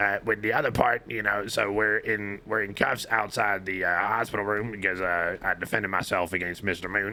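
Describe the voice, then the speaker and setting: Putting on a character voice, a man speaks at a moderate pace, raspy and fairly low, in a monotone, flat delivery. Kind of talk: courtroom testimony. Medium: machinima. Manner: rambling, filler-heavy, deferential.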